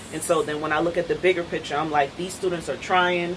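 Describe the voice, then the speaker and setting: The intonation is fairly even. Noticeable background noise is present. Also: woman. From Trinidad and Tobago, raised in New York and North Carolina. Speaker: adjunct professor of biology. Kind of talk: casual panel chat.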